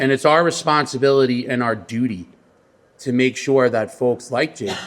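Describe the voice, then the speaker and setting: A man speaks in a New York accent. His pitch is medium. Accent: New York (Queens). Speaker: credit union executive. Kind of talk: press conference speech. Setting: press conference.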